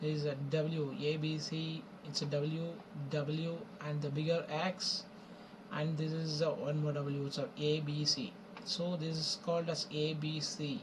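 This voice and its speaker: A man with a fairly high pitch speaks at a fairly slow pace and with fairly even intonation, with audible room echo and noticeable background noise. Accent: non-native. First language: not English. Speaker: forex trading educator. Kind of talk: tutorial. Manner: halting, with many fillers.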